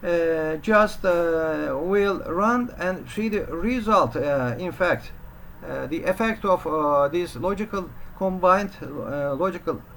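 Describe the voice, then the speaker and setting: Very slow speech in a non-native accent. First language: not English. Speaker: programming teacher. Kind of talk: tutorial. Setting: home study room. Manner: halting, many filler sounds.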